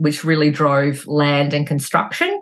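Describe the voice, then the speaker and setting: A woman with an Australian accent and a very deep, low pitch. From Australia, rural central Victoria. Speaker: mortgage broker, business owner. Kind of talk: casual interview.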